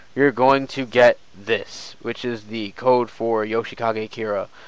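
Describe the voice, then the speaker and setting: In a very clean recording with a silent background, a man with an ordinary speaking voice talks at a medium pitch with fairly even intonation. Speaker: gaming streamer. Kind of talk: game tutorial stream. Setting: live stream. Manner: casual, filler-heavy.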